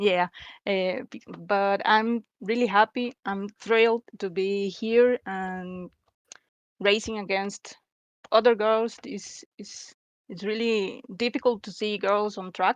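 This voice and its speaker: A woman with a Spanish accent speaks at a very slow pace and medium pitch, her intonation fairly even. Her loudness swings widely, and the sound is dry and close with no echo. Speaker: sim racing driver. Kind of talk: interview. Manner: halting.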